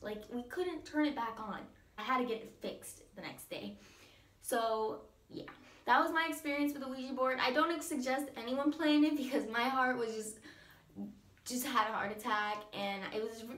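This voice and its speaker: A high-pitched woman's voice at a moderate pace, with ordinary pitch variation, big swings in loudness, audible room echo and noticeable background noise. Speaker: vlogger. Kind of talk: story time vlog. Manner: casual, filler-heavy; shaky voice.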